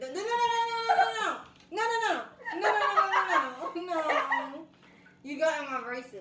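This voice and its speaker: A woman at a fairly quick pace over loud background noise. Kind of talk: casual challenge video banter. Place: home room. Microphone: camera far.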